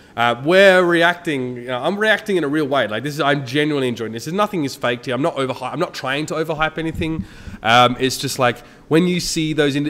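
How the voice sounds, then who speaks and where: A man with an Australian accent talks at a very fast pace with lively intonation. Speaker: esports caster. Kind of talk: casual commentary on a stream. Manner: casual, many fillers.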